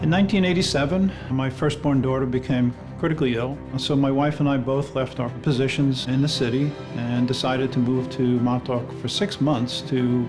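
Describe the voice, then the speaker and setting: Music plays in the background as a man with an American accent speaks at a fairly quick pace, his medium pitch showing ordinary variation. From Long Island, New York. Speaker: lighthouse keeper. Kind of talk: interview answer.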